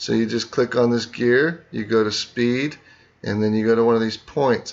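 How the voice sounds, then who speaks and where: A man speaks at a fairly slow pace. His pitch sits in the medium range. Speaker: teacher. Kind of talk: tutorial.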